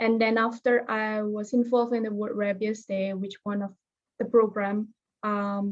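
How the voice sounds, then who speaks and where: A woman with a non-native accent speaks in a monotone, flat intonation. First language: not English. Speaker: fellowship alumnus, veterinary professional. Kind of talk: webinar presentation. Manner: halting.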